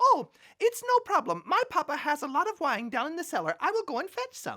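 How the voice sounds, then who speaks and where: A woman does a squeaky put-on character voice at an extremely high pitch, talking at a fairly quick pace with very wide pitch swings. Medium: read story.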